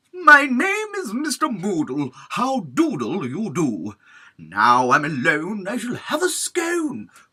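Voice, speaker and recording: A man's put-on character voice, high-pitched, raised and projected. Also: fairly slow pace. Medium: read story. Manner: jolly, proper.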